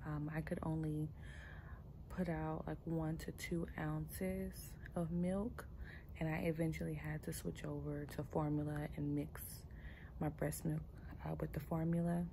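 Soft-spoken and fairly slow, the voice breaks into long, frequent pauses over noticeable background noise. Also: woman. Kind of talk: casual vlog chat. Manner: soft, sleepy late-night new-mother voice. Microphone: phone near.

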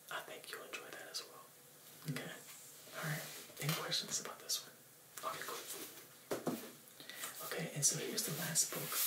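Loud noise runs in the background as a man speaks at a moderate speed, stopping often for long pauses. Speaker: presenter. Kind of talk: casual tutorial-style book talk. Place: home room.

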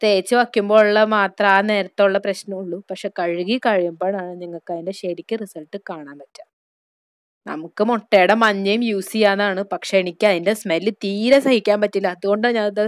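In a dry, close sound with no echo, a woman uses a normal speaking voice at medium pitch and a fairly even intonation. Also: very clean recording, silent background. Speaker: beauty YouTuber. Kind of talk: tutorial.

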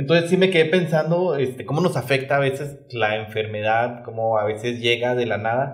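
A man with a Mexican accent at a moderate pace, medium pitch and ordinary pitch variation, hardly any pauses, over a quiet background. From Mexico. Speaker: podcast co-host. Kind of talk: casual chat. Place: studio. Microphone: studio mic.

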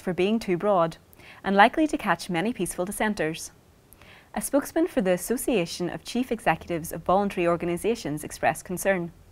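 A woman speaks at a very fast pace with lively intonation. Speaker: news presenter. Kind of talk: scripted weekly news bulletin reading. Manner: measured, even-paced and formal; neutral, crisp broadcast delivery. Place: studio.

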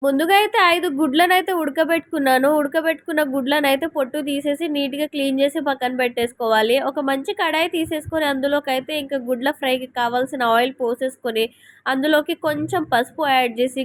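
Recorded very cleanly with a silent background, a woman speaks in a high pitch. The sound is dry and close, with no echo. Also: ordinary pitch variation. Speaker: cooking vlogger. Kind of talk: cooking tutorial. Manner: casual, chatty.

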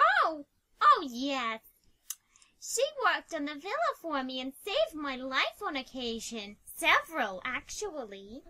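In a put-on character voice, a female-sounding speaker talks at a fairly slow pace in a high pitch. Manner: upset, accusing.

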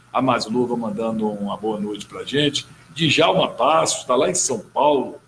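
Light background noise accompanies a man speaking at a moderate pace. His pitch swings very widely. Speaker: talk show host. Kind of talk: interview. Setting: studio. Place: studio. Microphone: studio mic.

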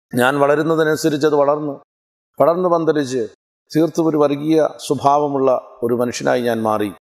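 A man talks at a fairly high pitch with ordinary pitch variation. The background is quiet. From Kerala, Kollam district (Punalur); Kerala. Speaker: evangelist. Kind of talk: testimony. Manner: formal. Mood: earnest, reflective. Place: garden. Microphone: lapel.

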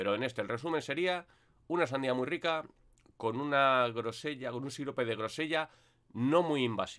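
Over a quiet background, a man of medium pitch speaks at a moderate pace with ordinary pitch variation. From Spain. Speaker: vape reviewer YouTuber; product reviewer. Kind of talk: product review monologue. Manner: casual, hesitant with fillers. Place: home room. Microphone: webcam.

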